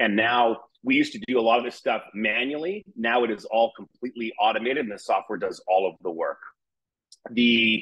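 A man talks at a fairly quick pace over a quiet background. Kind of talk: product presentation. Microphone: webcam.

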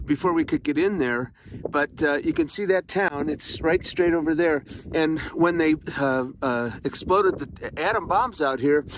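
Noticeable background noise sits under a dry sound with no echo. A man speaks at a moderate pace. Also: ordinary pitch variation. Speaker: travel vlogger. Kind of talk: casual vlog chat. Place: open country. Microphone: phone near.

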